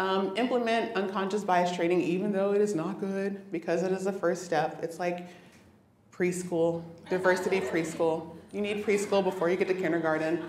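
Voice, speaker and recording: A woman talks at a fairly quick pace in a fairly low voice with fairly even intonation, with noticeable background noise and audible room echo. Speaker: engineering manager giving a conference talk. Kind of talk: conference talk. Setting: stage with audience. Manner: fast.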